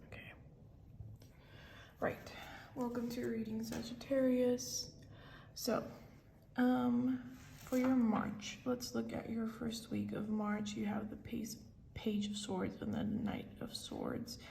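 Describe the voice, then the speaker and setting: Speaking at a very slow pace, a woman leaves long, frequent pauses. Audible room echo and noticeable background noise surround her voice. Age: 20s. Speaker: tarot reader. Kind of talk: tarot reading. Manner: casual, filler-heavy.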